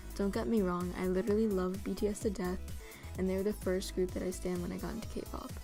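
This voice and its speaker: The delivery is at a fairly quick pace. Background music accompanies it. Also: woman. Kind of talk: casual talk to camera. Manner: monotone.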